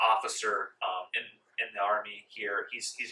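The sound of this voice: Fairly even intonation from someone reading in an unforced voice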